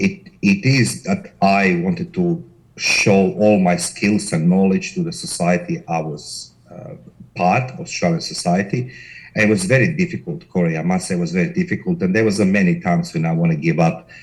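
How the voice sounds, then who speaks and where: A man in a Croatian accent, at a moderate pace with very wide pitch swings. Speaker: corporate investigator, company director. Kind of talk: interview.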